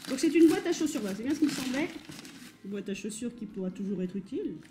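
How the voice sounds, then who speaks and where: A woman's very fast speech with very wide pitch swings, over noticeable background noise. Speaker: vintage fashion YouTuber. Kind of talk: casual unboxing vlog. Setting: home kitchen.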